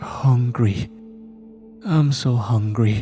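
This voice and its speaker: In a put-on character voice, a man at a medium pitch sounds hoarse over clear music in the background. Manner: desperate, pleading.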